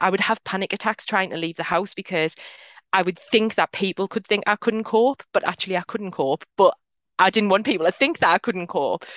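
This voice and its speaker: A woman with an ordinary speaking voice, medium in pitch and with ordinary pitch variation. The background is quiet, and the sound is dry and close with no echo. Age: 30s. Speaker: mental health adviser and business owner. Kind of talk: casual interview chat.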